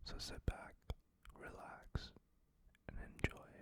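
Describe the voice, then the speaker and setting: A man is whispering. There is noticeable background noise. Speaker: ASMR creator. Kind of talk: ASMR whispered ramble. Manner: whispered, soft-spoken.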